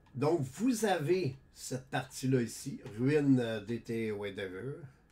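Speaking in a Quebec accent, a man uses a medium pitch and lively intonation. His pace is very slow and his voice somewhat breathy. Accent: Québécois French. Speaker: gaming YouTuber. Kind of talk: gameplay tutorial. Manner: casual, halting with many fillers.

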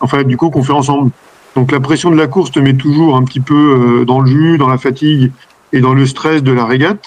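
Fairly quick and very even in loudness, a man speaks with fairly even intonation. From France, Normandy (Manche); Normandy, France. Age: 40s. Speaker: sailor; interviewee. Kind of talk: interview. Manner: hesitant. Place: home room. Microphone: video call.

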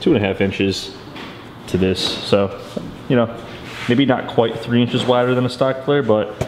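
Noticeable background noise behind a man at a moderate pace with ordinary pitch variation. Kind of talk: casual vlog chat. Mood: pleased, upbeat. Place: garage. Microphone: phone near.

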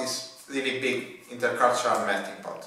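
A man with an Italian accent speaks amid strong room echo. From Italy. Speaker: PhD student. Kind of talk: testimony. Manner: halting. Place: office.

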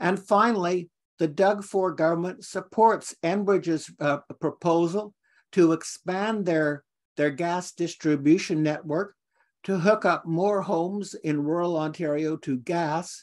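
The speaker goes at a fairly slow pace with fairly even intonation against a quiet background. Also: man, high pitch for a man. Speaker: presenter. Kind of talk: lecture. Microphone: video call.

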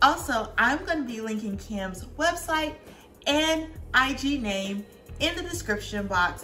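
A woman at a fairly slow pace, with faint music in the background. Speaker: home cooking vlogger. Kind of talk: casual vlog chat. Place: kitchen. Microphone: camera far.

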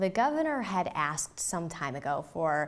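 At a moderate pace, a woman is talking. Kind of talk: interview answer. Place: office.

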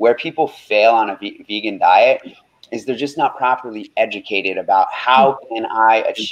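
A man at a moderate pace, with big swings in loudness. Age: 20s. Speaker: health coach and radio host; health coach guest. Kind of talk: interview. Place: home room. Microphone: video call.

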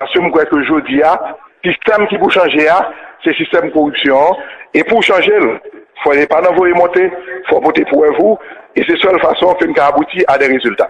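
Over light background noise, a man with a high pitch speaks at a fairly quick pace, his pitch varying in an ordinary way and his loudness very even. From Haiti. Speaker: senator. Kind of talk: testimony. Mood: firm, critical. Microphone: podium.

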